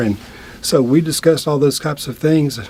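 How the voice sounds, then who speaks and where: A man speaks at a moderate pace with ordinary pitch variation. Noticeable background noise can be heard. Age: 60s. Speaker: attorney, patient. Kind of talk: interview testimony. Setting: studio.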